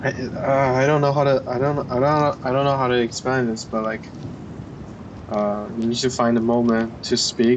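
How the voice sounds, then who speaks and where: Over noticeable background noise, a man talks at medium pitch and a moderate pace in a monotone, flat delivery. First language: not English. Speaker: vlogger. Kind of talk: casual chat. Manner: halting, many fillers.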